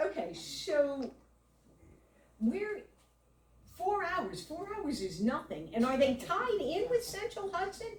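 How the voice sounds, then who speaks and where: Loud and extremely high-pitched, a woman speaks at a very slow pace with long, frequent pauses and very wide pitch swings. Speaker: community member at public meeting. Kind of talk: public meeting comment.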